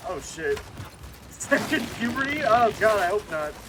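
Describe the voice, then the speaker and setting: Over noticeable background noise, a man talks in an animated tone with lively intonation. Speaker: VTuber streamer. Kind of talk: casual gaming stream chat. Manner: stammering.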